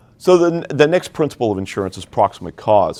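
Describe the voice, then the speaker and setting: This man has a normal speaking voice and an American accent. He moves at a fairly quick pace with ordinary pitch variation. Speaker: insurance underwriter, seminar presenter. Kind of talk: professional seminar lecture. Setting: seminar room with audience, livestreamed. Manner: many fillers and restarts.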